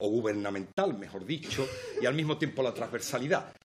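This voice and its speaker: This man speaks with an Andalusian accent. The recording is very clean, its background silent. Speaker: member of parliament. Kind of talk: parliamentary speech. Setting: parliament committee hearing. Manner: formal.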